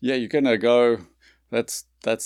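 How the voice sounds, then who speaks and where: A man with a South African accent speaks at a moderate pace on a very clean recording with a silent background, the sound dry and close with no echo. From South Africa, Pretoria. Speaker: whiskey distillery founder. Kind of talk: interview. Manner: halting.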